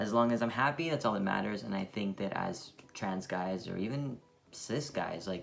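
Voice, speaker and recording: Music plays in the background as a man speaks at a fairly low pitch with ordinary pitch variation. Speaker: vlogger. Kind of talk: casual chat. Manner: casual, filler-heavy.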